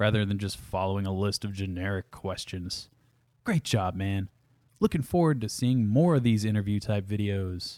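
Fairly low-pitched male speech with a dark, mellow tone at a moderate pace, in an American accent. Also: ordinary pitch variation, very clean recording, silent background. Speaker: podcast host and guitarist. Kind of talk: casual chat. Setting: studio.

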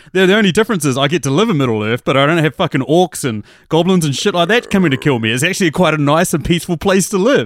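Rattling along at a very fast pace with hardly any pauses, a man with a New Zealand accent speaks at a fairly high pitch, with lively intonation and very even loudness. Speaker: movie podcaster. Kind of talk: casual chat.

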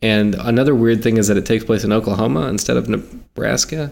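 A man with an American accent and vocal fry speaks at a fairly quick pace and fairly low pitch. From South Carolina. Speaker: podcast host, film reviewer. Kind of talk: casual chat.

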